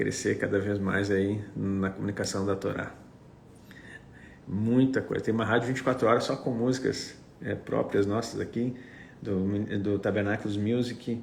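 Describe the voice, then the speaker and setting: With a Gaúcho Brazilian accent, a man speaks in a fairly low, somewhat breathy, monotone and flat voice at a fairly slow pace amid audible room echo. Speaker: apostle / preacher. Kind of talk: livestream chat before teaching.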